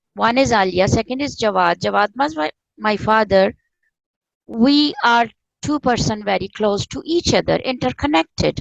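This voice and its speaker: In a Pakistani accent, a woman with a fairly high pitch speaks at a moderate pace with lively intonation, in a dry, close sound with no echo. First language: Urdu. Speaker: spiritual author and former professor. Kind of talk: interview conversation. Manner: halting.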